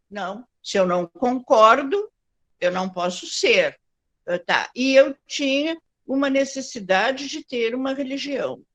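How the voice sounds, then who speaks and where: Very wide pitch swings mark a woman's high voice at a very slow pace, recorded with a dry, close sound and no echo. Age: 70s. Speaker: Afro-Brazilian religion practitioner, panelist. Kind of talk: panel testimony.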